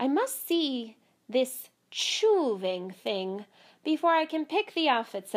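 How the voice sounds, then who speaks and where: A woman puts on a high character voice, speaking fairly slowly with very wide pitch swings. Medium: read story. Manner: purring, theatrical, speaks of herself in third person.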